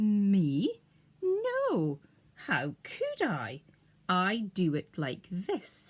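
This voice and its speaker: In a put-on character voice, a female-sounding speaker at a medium pitch talks at a very slow pace with long, frequent pauses. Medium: read story.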